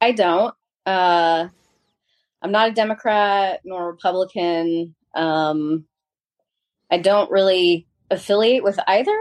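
This woman talks at a very slow pace, with long, frequent pauses. Her pitch is medium and its variation ordinary. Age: 40s. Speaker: small business owner. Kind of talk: casual chat.

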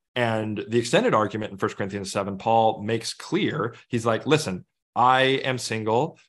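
Against a quiet background, a man with a medium pitch and ordinary pitch variation speaks at a moderate pace in an unremarkable speaking voice. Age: 30s. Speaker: author and minister. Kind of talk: interview.

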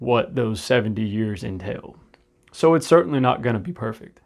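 The background is quiet as a man with a normal speaking voice talks at a moderate pace. His intonation is lively. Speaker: podcast host; military veteran and dad. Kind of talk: solo podcast monologue.

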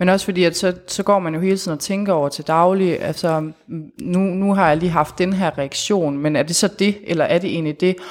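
Here a woman talks at a moderate pace. Her pitch is medium and her intonation fairly even. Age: 20s. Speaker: guest sharing life with PTSD. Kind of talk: personal testimony interview. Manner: hesitant, many fillers.

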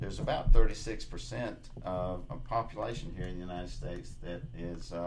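With ordinary pitch variation, a man speaks in an ordinary speaking voice. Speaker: senior real estate specialist. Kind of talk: radio interview chat. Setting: radio studio.

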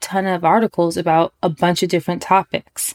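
Delivered at a moderate pace with fairly even intonation, the voice has a dry, close sound with no echo. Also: woman. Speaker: podcast host and business coach. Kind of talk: solo podcast monologue. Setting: home recording in bedroom. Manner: relaxed.

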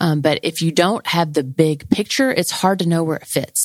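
A woman speaks with an ordinary speaking voice at a fairly low pitch and a moderate pace, her pitch varying normally, in a dry, close sound with no echo. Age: 40s. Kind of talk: personal testimony. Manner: casual and conversational.

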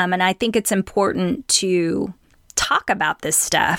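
A woman's ordinary speaking voice at a medium pitch and fairly slow pace, ordinary pitch variation, in a very clean, dry, close recording with no echo and a silent background. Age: 40s. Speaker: podcast host. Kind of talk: solo monologue.

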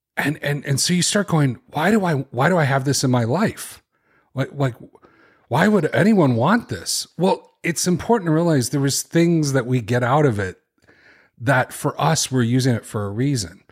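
A man with a Chicago accent speaks at a moderate pace in a fairly high, somewhat breathy voice with lively intonation, on a very clean recording with a silent background. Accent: Chicago, general American. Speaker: author and podcaster. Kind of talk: interview, conversational.

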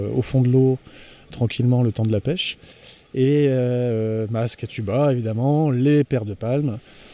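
A dark, mellow tone carries this voice. Its delivery is fairly unhurried. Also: man. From French coast. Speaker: spearfishing enthusiast. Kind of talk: casual chat.

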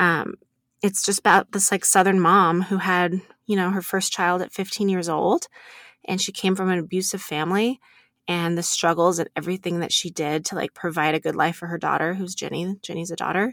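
Recorded very cleanly against a silent background, a woman of medium pitch talks at a fairly quick pace, the sound dry and close with no echo. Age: 30s. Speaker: podcast host. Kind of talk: casual chat. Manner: animated.

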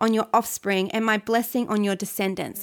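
Animated in tone, a woman speaks in a fairly high pitch with an Australian accent. The recording is very clean, with a silent background. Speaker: church pastor leading prayer. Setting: recorded devotional message to a church community. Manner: earnest, fervent, pleading and declarative; animated, encouraging.

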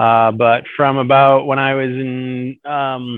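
Slow and clear, a man with an American accent speaks at a medium pitch in a smooth tone. His voice shows little pitch movement.

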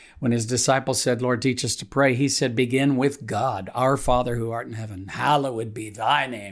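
Recorded very cleanly against a silent background, a man speaks at a moderate pace with a medium pitch and fairly even intonation. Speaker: pastor. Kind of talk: devotional reading and prayer. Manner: halting, with frequent fillers; warm, earnest, conversational.

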